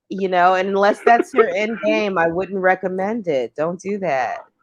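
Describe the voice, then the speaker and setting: With a slight New York accent, a woman talks at a fairly slow pace in a medium pitch. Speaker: live stream host. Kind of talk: casual chat. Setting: live stream.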